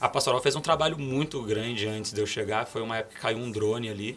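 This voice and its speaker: There is noticeable background noise behind the speaker. He is a man with a medium pitch. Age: 20s. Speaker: criminal defense lawyer. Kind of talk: casual interview chat.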